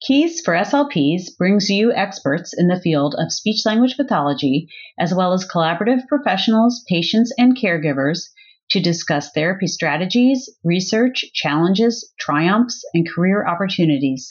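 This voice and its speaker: Somewhat breathy, a woman's medium-pitched voice at a moderate pace, with very wide pitch swings and very even loudness. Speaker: podcast host. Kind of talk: scripted intro and outro.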